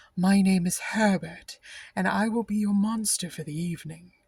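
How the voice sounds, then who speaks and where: A put-on character voice at middle pitch and moderate pace, on a very clean recording with a silent background. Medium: read story.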